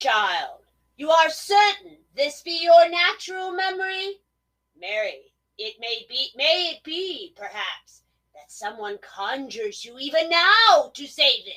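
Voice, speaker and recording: A woman puts on a character voice at an extremely high pitch, her pitch swinging very widely. She speaks at a fairly slow pace with big swings in loudness. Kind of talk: period stage drama. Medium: audio drama. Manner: measured, cautious.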